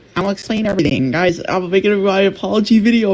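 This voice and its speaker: The talking runs at a very fast pace. Noticeable background noise sits behind it. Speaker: gaming YouTuber and streamer. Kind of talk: casual gaming commentary and channel update outro. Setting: live stream recording. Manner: casual, filler-heavy. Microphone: poor mic quality.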